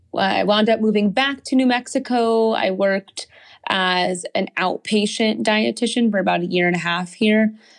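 An ordinary speaking voice: a woman with an American accent and a fairly high pitch. The background is quiet. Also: fairly even intonation, moderate pace. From New Jersey suburbs, US. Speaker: dietitian and small business owner. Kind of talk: casual interview.

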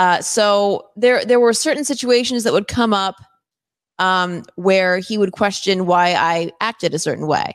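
A woman speaks in an unremarkable speaking voice at a medium pitch with ordinary pitch variation. The background is quiet. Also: fairly slow pace. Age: 30s. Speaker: podcast co-host. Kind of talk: casual chat.

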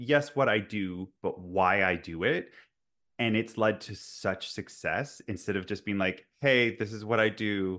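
Against a quiet background, a man with a fairly low pitch speaks at a fairly slow pace in an ordinary speaking voice. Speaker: podcast host. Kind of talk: casual interview chat.

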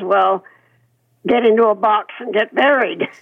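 Hers is an unremarkable speaking voice, fairly high in pitch, moving at a moderate pace with ordinary pitch variation. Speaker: retirement home resident. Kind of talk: radio interview.

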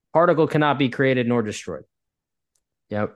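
With a quiet background, a man with an American accent talks in a plain, everyday voice at a medium pitch, fairly quick pace, and ordinary pitch variation. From US Northeast. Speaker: indoor air quality expert. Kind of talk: interview.

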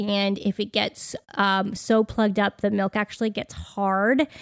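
The recording is very clean, with a silent background and a dry, close sound with no echo. Delivery is monotone and flat at a moderate pace. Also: woman. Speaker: podcast co-host. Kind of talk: casual chat.

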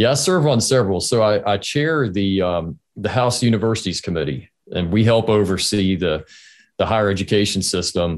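A normal speaking voice from a man with an American accent, fairly low in pitch, with lively intonation, very even loudness and a moderate pace against a quiet background. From North Carolina, Greensboro. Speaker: state legislator. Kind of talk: interview.

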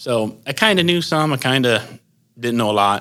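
A man with a Midwestern US accent, medium pitch, lively intonation and a bright, sharp tone. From northwestern Ohio. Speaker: hog farmer. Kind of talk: interview. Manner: halting, many fillers.

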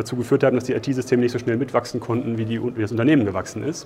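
Noticeable background noise sits behind a man talking at a very fast pace. His voice is medium in pitch, with fairly even intonation. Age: 30s. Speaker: engineer in cost controlling. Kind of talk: interview. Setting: conference.

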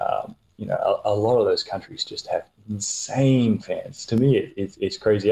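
This voice moves at a moderate speed. It carries an Australian accent. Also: man. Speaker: handball player. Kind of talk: interview.

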